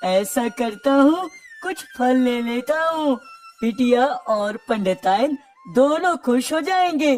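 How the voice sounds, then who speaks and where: A cartoonish character voice moves at a very slow pace with lively intonation. Faint music plays in the background. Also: man, extremely high pitch for a man. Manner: humble, respectful.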